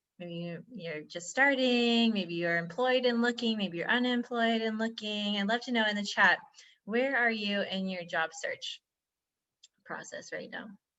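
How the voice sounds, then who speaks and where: Using ordinary pitch variation, a woman with an American accent and a fairly high pitch speaks at a fairly slow pace. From United States. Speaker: career coach and trainer. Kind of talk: online workshop presentation.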